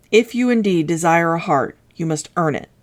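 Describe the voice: A woman puts on a gruff character voice pitched fairly low. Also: moderate pace.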